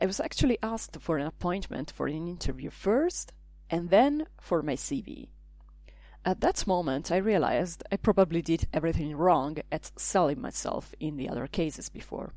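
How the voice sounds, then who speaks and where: A woman speaks with an Italian accent at a moderate pace. The recording is very clean, with a silent background. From Italy. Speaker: language teacher and podcaster. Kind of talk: scripted narration.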